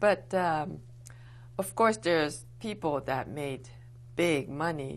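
Her words come very slowly as the woman speaks. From Okinawa, Japan. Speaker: war survivor. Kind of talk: oral history interview answer. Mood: reflective, somber recollection. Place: studio. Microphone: lapel.

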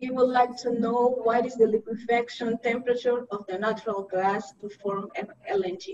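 Over noticeable background noise, a woman with a fairly high pitch talks at a moderate pace, her loudness swinging widely. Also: ordinary pitch variation. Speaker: webinar moderator. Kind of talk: webinar moderating. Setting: video call. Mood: polite, calm. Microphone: video call.

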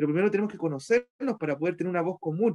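A man's high-pitched voice with lively intonation against a quiet background. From Chile, Petorca (Valparaíso region); Valparaíso region, Chile. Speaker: community leader and local councillor. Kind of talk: interview testimony. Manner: halting, many fillers and repetitions. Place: home room. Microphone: video call.

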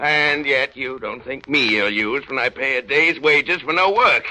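A man puts on a gruff character voice, pitched fairly high. He keeps a moderate pace. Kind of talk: 1930s radio drama acting. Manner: gruff, scornful, barking.

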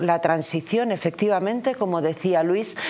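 Ordinary pitch variation and a moderate pace in a woman's speech. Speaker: local politician, commentator. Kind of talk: political commentary. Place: studio. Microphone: lapel.

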